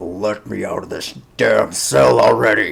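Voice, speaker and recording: A man speaks at a moderate pace in a put-on character voice that is raspy and gruff. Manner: impatient, demanding.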